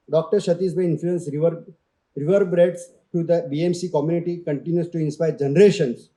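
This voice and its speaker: Talking at a very fast pace, a man with a high pitch for a man and a dark, mellow tone keeps his intonation fairly even. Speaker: award ceremony presenter. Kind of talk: reading a prepared citation.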